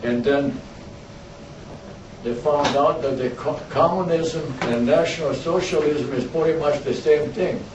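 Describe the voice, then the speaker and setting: Pitched fairly high, a man speaks with ordinary pitch variation and long, frequent pauses, with audible room echo and noticeable background noise. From Croatia (former Yugoslavia), ethnic German. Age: 80s+. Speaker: war veteran. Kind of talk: talk to a school class. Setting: classroom.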